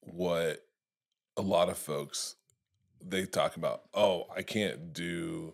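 Long pauses come often as a man talks very slowly. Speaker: comedian podcast host. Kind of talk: casual comedy podcast chat. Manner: joking, rambling, laughs a lot.

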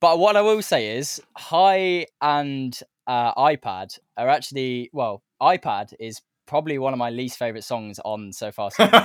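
A man at a medium pitch speaks with very wide pitch swings and big swings in loudness. The recording is very clean and dry, close with no echo and a silent background. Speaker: podcast producer. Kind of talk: casual chat.

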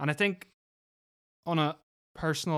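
The recording is very clean, with a silent background. A man with a Northern Irish accent speaks at a moderate pace with fairly even intonation. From Northern Ireland (Lisburn). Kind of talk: casual chat. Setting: family cottage on a farm.

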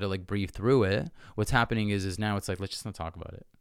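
On a very clean recording with a silent background, a man speaks with an unremarkable speaking voice. His pitch is fairly low and his intonation fairly even. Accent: Canadian. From Canada, Toronto suburbs (Ontario). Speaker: yoga teacher and coach. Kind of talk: casual interview chat.

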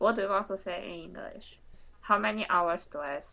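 The voice has a bright, sharp tone with vocal fry and swings very widely in pitch. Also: woman. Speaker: language exchange partner, student. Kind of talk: language exchange practice.

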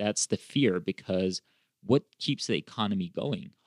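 A man with a fairly low pitch talks in a plain, everyday voice. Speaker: economics professor host. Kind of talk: casual interview chat.

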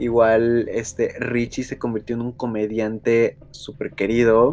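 A man of medium pitch speaks at a very slow pace. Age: 20s. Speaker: podcast host. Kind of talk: casual chat. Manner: animated.

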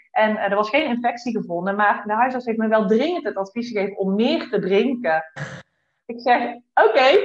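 This woman's fairly high voice shows ordinary pitch variation and keeps a moderate pace. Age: 30s. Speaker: psychiatric nurse and horse coach. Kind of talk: interview. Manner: halting.

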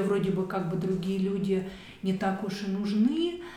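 There is noticeable background noise as a woman of medium pitch talks at a moderate pace. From Central Russia. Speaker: architect. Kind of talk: casual chat.

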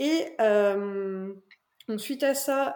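This is a woman speaking. She has an ordinary speaking voice. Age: 20s. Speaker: author and physiotherapist. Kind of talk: interview.

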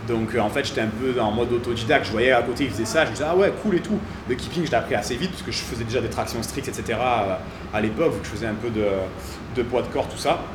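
Delivered at a very fast pace with ordinary pitch variation, the speech carries audible room echo and noticeable background noise. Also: man, medium pitch for a man. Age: 30s. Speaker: CrossFit gym coach. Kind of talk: casual interview. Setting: in a gym.

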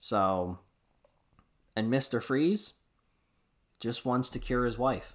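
On a very clean recording with a silent background, the speaker uses lively intonation at a very slow pace, with long, frequent pauses. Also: man, medium pitch for a man. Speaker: comic book podcast host. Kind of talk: casual solo review.

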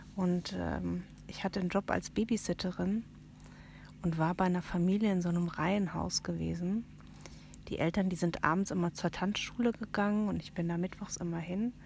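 A woman with a fairly low pitch talks at a moderate pace. Her voice is somewhat breathy, and her intonation is fairly even. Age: 40s. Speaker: aunt of the hosts, guest. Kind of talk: casual chat with scary storytelling. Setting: inside a tent at a campsite at night.

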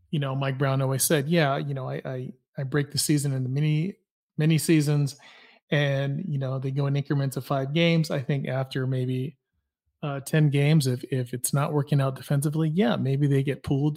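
A somewhat breathy man on a very clean recording with a silent background. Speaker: podcast host. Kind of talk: casual sports talk.

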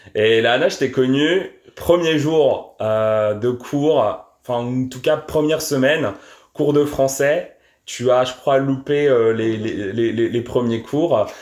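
With ordinary variation, the man's pitch stays medium. He talks at a very slow pace. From France. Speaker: podcast host. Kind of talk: casual chat.

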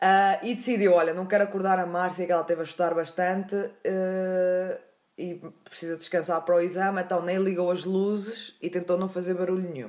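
With a European Portuguese accent, a woman speaks at a medium pitch and a moderate pace, her intonation fairly even. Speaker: podcast host. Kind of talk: storytelling.

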